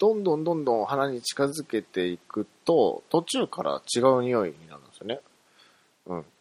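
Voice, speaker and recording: A man speaks at a medium pitch with very wide pitch swings. The sound is dry and close, with no echo. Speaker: podcast host. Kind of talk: casual solo monologue.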